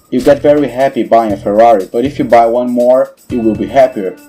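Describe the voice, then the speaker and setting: With a non-native accent, a man speaks very fast at medium pitch and with fairly even intonation while music plays in the background. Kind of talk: educational explainer narration.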